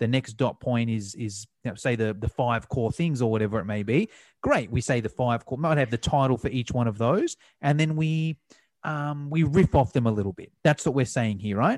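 A man's ordinary speaking voice with ordinary pitch variation. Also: medium pitch for a man, moderate pace. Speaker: podcast host. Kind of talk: casual interview. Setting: remote call.

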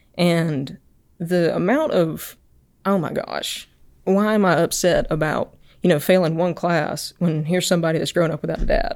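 A woman speaks at a moderate pace in an Alabama accent, her pitch fairly low. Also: fairly even intonation. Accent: US Southern (Alabama). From Alabama (Enterprise). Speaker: research engineer and startup founder. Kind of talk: podcast interview.

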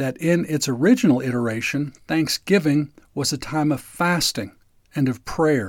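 A man talks in an ordinary speaking voice, fairly high in pitch with ordinary pitch variation. His pace is moderate on a very clean recording with a silent background. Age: 60s. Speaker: lawyer and podcast host. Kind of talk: scripted narration.

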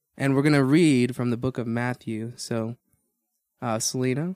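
A man speaks at a moderate pace and medium pitch in a plain, everyday voice, with a dry, close sound that has no echo. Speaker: podcast host. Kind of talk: casual Bible discussion. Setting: church studio.

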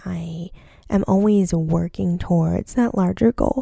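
A woman speaks at medium pitch with a dark, mellow tone. Her pace is fairly slow. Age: 20s. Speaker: doctor in residency, podcast host. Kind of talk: solo podcast monologue. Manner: casual, filler-heavy.

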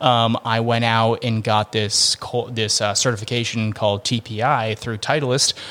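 At a fairly slow pace, the speaker uses a bright, sharp tone and a monotone, flat intonation with an American accent. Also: man, medium pitch for a man. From Massachusetts, near Boston. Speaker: golf fitness trainer. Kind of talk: interview.

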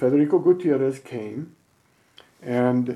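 With an American accent, a man talks at a medium pitch in a dark, mellow tone with lively intonation. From Utah. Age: 70s. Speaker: conservation foundation co-founder. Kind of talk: interview.

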